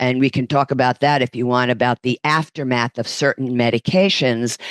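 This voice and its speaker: Speaking at a fairly quick pace with a New York accent, a woman uses a very deep, low pitch, very even loudness and fairly even intonation, recorded with a dry, close sound with no echo. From New York, Brooklyn. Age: 60s. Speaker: fitness instructor and massage therapist. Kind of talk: podcast interview.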